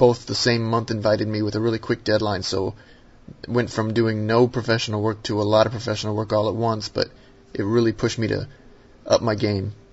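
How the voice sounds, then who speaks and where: Speaking at a fairly quick pace, a man with an American accent uses a fairly low pitch. His intonation is monotone and flat, and his voice is somewhat breathy. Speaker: sketch card artist. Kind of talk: interview.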